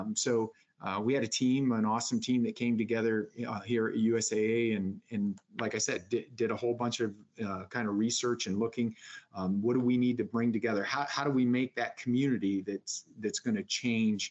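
With an American accent, a man in an unremarkable speaking voice talks at a moderate pace and medium pitch with fairly even intonation. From upstate New York. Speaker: retired Marine sergeant major, veterans program director. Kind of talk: interview.

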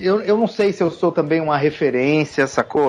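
This man has a plain, everyday voice. He speaks at a moderate pace with a fairly high pitch. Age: 40s. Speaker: tattoo artist. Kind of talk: casual chat.

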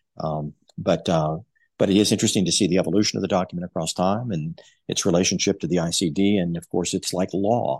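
Someone with an American accent talks at a very fast pace with fairly even intonation on a very clean recording against a silent background. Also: man, very deep, low pitch for a man. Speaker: psychology professor. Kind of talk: interview.

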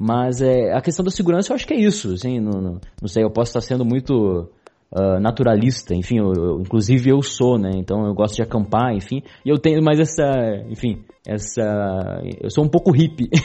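Lively in intonation, a man at medium pitch speaks at a moderate pace. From interior of São Paulo state, Brazil. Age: 20s. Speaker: podcaster. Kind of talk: casual chat. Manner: halting.

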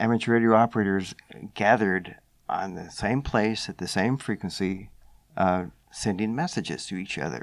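An ordinary speaking voice from a man with an American accent, fairly low in pitch, at a moderate pace with ordinary pitch variation. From US South, Knoxville, Tennessee. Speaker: amateur radio organization staff. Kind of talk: interview.

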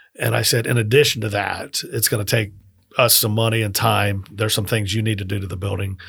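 A man with an American accent talks at a fairly quick pace in a fairly low pitch, with vocal fry and monotone, flat intonation. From US South, Miami. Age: 50s. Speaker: restaurateur. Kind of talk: casual interview. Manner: hesitant, many fillers.

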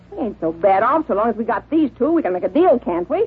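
A woman's gruff, put-on character voice, fairly high, with very wide pitch swings at a very fast pace. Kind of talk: 1940s radio acting. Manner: gruff, slangy, rough.

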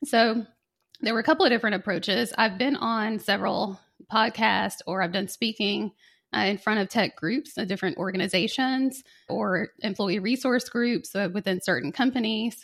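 Against a quiet background, a woman talks at a moderate pace. Her pitch is fairly high, with ordinary variation. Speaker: financial advisor and podcast guest. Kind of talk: casual interview. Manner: engaging, energetic.

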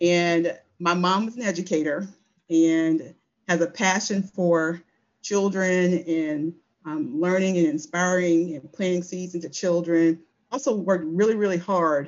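In an American accent, a woman speaks in a normal speaking voice at a fairly low pitch. Her pace is fairly slow, with ordinary pitch variation. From rural southeast Virginia. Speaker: energy company executive. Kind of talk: interview conversation.

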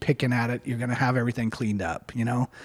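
A man speaks in a somewhat breathy voice. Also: very clean recording, silent background. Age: 50s. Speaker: distillery owner. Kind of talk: interview.

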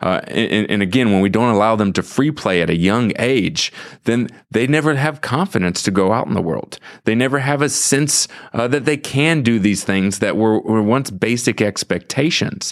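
Speaking in an American accent, a man with an unremarkable speaking voice talks at a medium pitch and moderate pace, with lively intonation and very even loudness. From US Midwest, St. Louis. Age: 30s. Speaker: author. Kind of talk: interview. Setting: studio.

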